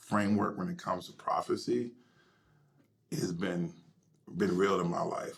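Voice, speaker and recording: At a moderate pace, a man speaks. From US South, Alabama (Selma area). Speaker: pastor. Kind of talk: interview, personal testimony. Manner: animated storytelling.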